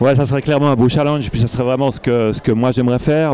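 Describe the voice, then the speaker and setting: A man talks with fairly even intonation. There is noticeable background noise. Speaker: festival organizer. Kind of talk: casual interview. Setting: festival with crowd noise.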